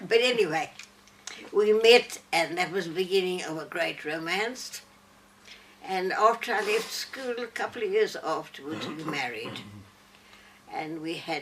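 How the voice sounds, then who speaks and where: A woman's medium-pitched voice with lively intonation at a fairly slow pace, amid noticeable background noise. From Northern Rhodesia (Zambia), Lusaka. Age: 90s. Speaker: elderly interviewee telling life story. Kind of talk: personal life story to small audience. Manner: halting.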